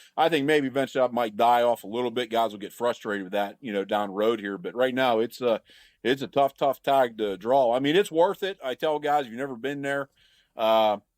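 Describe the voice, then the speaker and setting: A man speaks quite quickly in a normal speaking voice. His pitch is medium, with ordinary variation. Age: 40s. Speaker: hunter. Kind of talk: casual chat.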